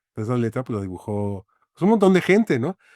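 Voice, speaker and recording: A man with a Mexican accent speaks in a dark, mellow tone at a moderate pace. The sound is dry and close with no echo, in a very clean recording with a silent background. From Mexico City. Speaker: graphic designer and author. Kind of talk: interview conversation. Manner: halting, many fillers.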